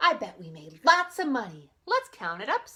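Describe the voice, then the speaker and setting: In a put-on character voice, a woman speaks at a moderate pace. Her pitch is high. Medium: read story.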